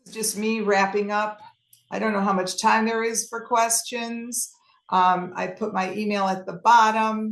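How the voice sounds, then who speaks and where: An American accent from a woman at a fairly high pitch, with a fairly slow pace, monotone, flat intonation and big swings in loudness. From US Midwest, Chicago. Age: 60s. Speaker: travel presenter. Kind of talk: presentation with Q&A. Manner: halting.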